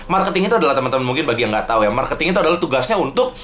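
A man with an animated tone at a very fast pace, with light background noise. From Indonesia. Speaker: gaming youtuber. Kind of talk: live gameplay commentary. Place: home room. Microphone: cheap-sounding headset mic.

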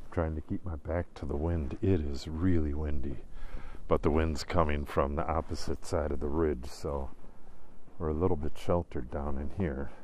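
Over light background noise, a man speaks with a very deep, low pitch. His voice is somewhat breathy and his intonation fairly even. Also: moderate pace, dry sound with no echo. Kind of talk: casual vlog chat. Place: forest. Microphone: phone near.

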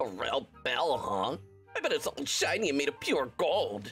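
Clear music plays in the background behind a put-on character voice. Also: moderate pace. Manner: arrogant, bossy.

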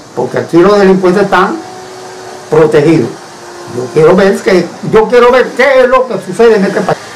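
Lively intonation and long, frequent pauses mark a man's high-pitched voice over light background noise. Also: moderate pace. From Cuba. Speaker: citizen denouncing injustice. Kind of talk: testimony to camera. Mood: indignant, aggrieved. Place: home room. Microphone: camera far.

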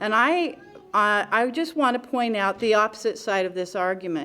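At a moderate pace, a woman speaks in a fairly high voice. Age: 60s. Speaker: public commenter. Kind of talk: public comment at council meeting.

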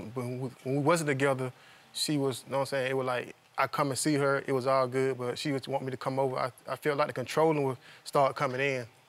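The delivery is very fast and monotone, with flat intonation. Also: man. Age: young. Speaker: litigant in a TV court case. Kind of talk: courtroom testimony. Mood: aggrieved, defensive. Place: studio. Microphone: lapel.

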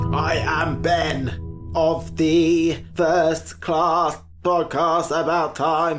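Putting on a character voice, a man speaks very slowly at a fairly high pitch with very even loudness while clear music plays in the background. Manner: declarative, menacing.

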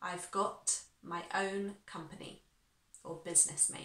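With a bright, sharp tone, a woman speaks at a very slow pace using fairly even intonation, and audible room echo fills the space. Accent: British. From United Kingdom. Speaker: English teacher. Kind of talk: online language lesson to camera. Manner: clear, instructive. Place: home room.

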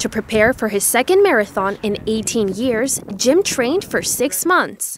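A plain, everyday voice moves at a fairly slow pace with lively intonation, recorded dry with no echo over light background noise. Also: woman, fairly high pitch for a woman. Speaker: student news reporter. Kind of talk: news report narration.

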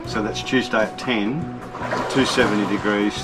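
Clear music plays in the background. Over it, a man speaks with ordinary pitch variation. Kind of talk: casual vlog chat. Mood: relaxed, joking. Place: boat. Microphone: phone near.

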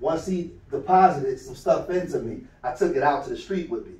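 There is audible room echo around a man. He speaks at a fairly quick pace. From Philadelphia, US. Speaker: youth mentor, nonprofit founder. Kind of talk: motivational talk to youth. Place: meeting room. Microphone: camera far.

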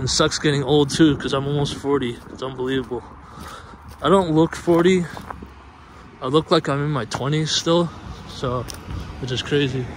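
A man talks at a moderate pace with fairly even intonation and long, frequent pauses. The sound is dry with no echo, though noticeable background noise is present. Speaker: vlogger exploring abandoned retail. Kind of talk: casual vlog chat. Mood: nostalgic, wistful. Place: street. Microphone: phone near.

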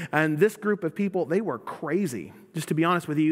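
Over a quiet background, a man with an American accent speaks at a high pitch with ordinary pitch variation. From US South. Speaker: pastor. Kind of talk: sermon. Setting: church. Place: church.

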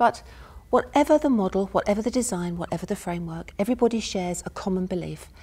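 Soft-spoken and somewhat breathy, a woman talks at a fairly quick pace in a calm, dark, mellow tone with ordinary pitch variation. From United Kingdom. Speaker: university professor giving a lecture. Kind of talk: academic lecture. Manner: soft-spoken, calm. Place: stage.

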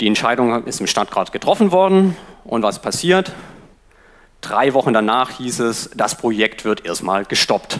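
A man's fairly slow speech with very wide pitch swings, against a quiet background. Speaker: free software advocate. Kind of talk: conference talk. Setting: stage with audience. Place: classroom. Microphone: headset.

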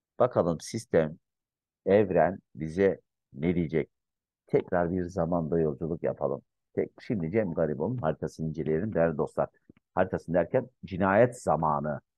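A man with a very deep, low pitch, ordinary pitch variation and a moderate pace, in a dry sound with no echo against a quiet background. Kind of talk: commentary. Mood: calm, reflective. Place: home room. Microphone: webcam.

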